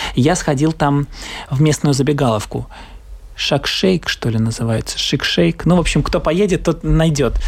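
This man's pitch is fairly high with ordinary variation, and his loudness stays very even. He moves at a moderate pace broken by long, frequent pauses. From Latvia. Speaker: theatre actor. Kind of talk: casual travel interview.

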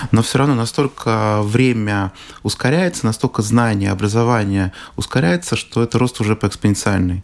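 This man has a normal speaking voice, fairly low in pitch with ordinary pitch variation, delivered at a moderate pace with very even loudness. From Russia. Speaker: business trainer and psychologist. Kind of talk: radio interview.

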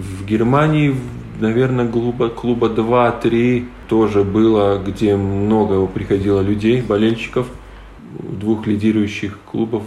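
With audible room echo, a man talks at a fairly slow pace. His pitch is fairly low and his intonation fairly even. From Latvia, Latgale (Livani). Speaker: wheelchair basketball player. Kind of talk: interview.

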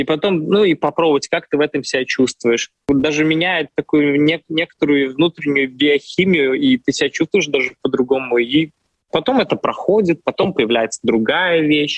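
This man has an unremarkable speaking voice, pitched fairly high. His pitch varies in an ordinary way and his loudness stays very even. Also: moderate pace. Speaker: opera singer. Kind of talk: interview.

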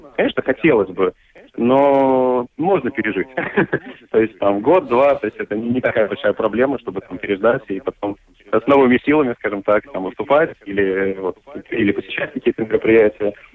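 Medium in pitch, a man's voice moves at a moderate pace. His pitch variation is ordinary. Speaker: marketing specialist and musician. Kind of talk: radio interview. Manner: halting.

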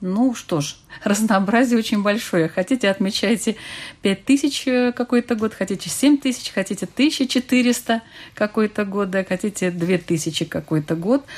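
Speaking fairly slowly with ordinary pitch variation, a woman uses an ordinary speaking voice pitched fairly high. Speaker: radio host. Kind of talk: radio panel discussion. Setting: studio.

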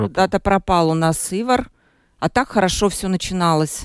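The speaker goes at a fairly slow pace. The recording is very clean, with a silent background. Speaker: radio host. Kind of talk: live radio talk show. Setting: studio.

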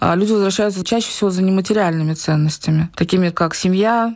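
This woman has a plain, everyday voice. Her pitch sits in the medium range. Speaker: online business owner and community founder. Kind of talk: interview.

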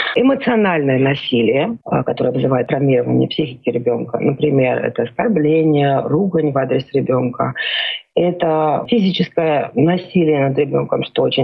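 A woman talks at a moderate pace. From Georgia. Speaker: psychodiagnostician. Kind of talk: radio interview.

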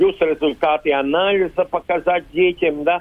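A man speaks here with a high pitch. His intonation stays fairly even. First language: Latvian (speaking Russian). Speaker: school principal. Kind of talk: recorded interview. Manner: halting, non-native phrasing.

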